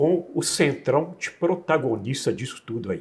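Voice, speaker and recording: Here a man speaks at a very slow pace with vocal fry. His pitch swings very widely. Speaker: interviewer. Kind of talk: interview questions.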